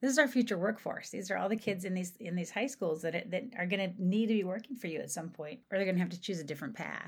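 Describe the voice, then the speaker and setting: A somewhat breathy woman at a very fast pace, ordinary in pitch variation, in a very clean recording with a silent background. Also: medium pitch for a woman. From southeastern Ohio, Appalachia. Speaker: economic development consultant. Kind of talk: interview.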